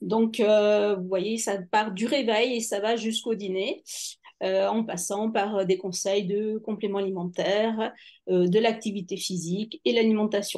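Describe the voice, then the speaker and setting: In a quiet setting, a woman talks at a fairly slow pace, her fairly high voice keeping fairly even intonation. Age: 50s. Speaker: nutrition coach. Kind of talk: webinar presentation. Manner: halting, many hesitations.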